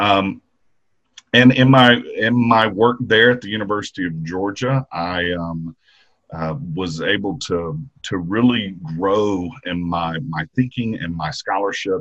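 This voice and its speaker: With a Mississippi accent, a man speaks at a fairly slow pace in a fairly low pitch with ordinary pitch variation. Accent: US Southern (Mississippi). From Mississippi, Jackson area. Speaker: history professor. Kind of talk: interview.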